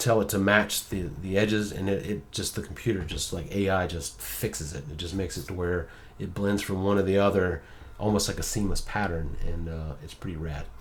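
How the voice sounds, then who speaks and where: The speaker goes at a fairly quick pace with ordinary pitch variation and a somewhat breathy sound. Audible room echo fills the recording. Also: man, very deep, low pitch for a man. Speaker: graphic design tutor. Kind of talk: tutorial. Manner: fast; casual, with many fillers.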